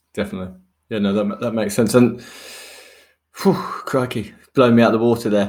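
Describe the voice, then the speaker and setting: This man has a normal speaking voice, pitched at a medium level, with ordinary pitch variation. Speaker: podcast host in construction development. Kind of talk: casual podcast chat and interview. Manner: jovial, laughs often.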